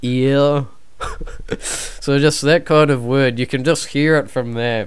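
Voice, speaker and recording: A man's fairly high-pitched voice at a very slow pace. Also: fairly even intonation. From New Zealand. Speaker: podcast guest, YouTuber. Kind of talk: casual chat.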